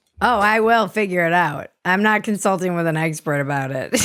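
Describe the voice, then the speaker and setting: Over music in the background, a woman speaks at a moderate pace in a fairly low voice with ordinary pitch variation. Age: 40s. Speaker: podcast host. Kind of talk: casual chat.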